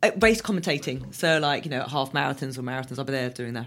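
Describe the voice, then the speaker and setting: A woman with a very deep, low pitch, a southern English accent, a bright, sharp tone and lively intonation, on a very clean recording with a silent background. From southern England. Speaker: endurance runner and fitness instructor. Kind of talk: interview. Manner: animated.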